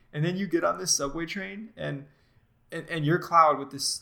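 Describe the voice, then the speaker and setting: A man's bright, sharp tone at a moderate pace with ordinary pitch variation. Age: 20s. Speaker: video game podcast co-host. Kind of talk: casual chat.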